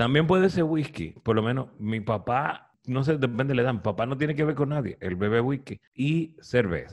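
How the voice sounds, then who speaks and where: Using a normal speaking voice with lively intonation, the speaker keeps a moderate pace with hardly any pauses. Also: man, medium pitch for a man. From Dominican Republic, Cibao (Santiago). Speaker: podcast host. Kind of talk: casual chat.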